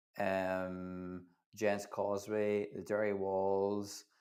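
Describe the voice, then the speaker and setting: The speaker has a Northern Irish accent. The recording is very clean, with a silent background. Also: man. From Northern Ireland. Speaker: livestream host, Eurovision fan channel. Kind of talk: live reaction stream chat.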